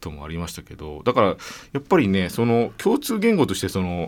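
Speaking fairly quickly, a man uses a very deep, low voice. His intonation is lively. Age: 40s. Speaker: radio host. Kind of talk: radio interview. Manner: subdued.

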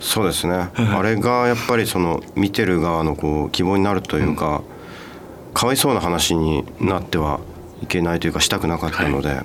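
Speaking at a fairly quick pace with very even loudness, a man uses a very deep, low pitch and ordinary pitch variation over noticeable background noise. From Hokkaido, Japan (Date city). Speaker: film director. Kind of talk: radio interview.

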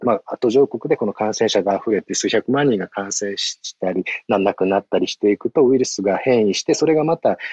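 Fairly low male voice with a dark, mellow tone, ordinary pitch variation, a fairly quick pace and a dry, close sound with no echo. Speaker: NPO aid worker. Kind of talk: interview. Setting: phone call, outdoors.

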